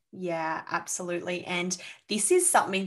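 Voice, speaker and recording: At a moderate pace, a woman with an Australian accent speaks at a medium pitch with fairly even intonation. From Sydney, Australia. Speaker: mindset coach. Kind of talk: casual interview chat.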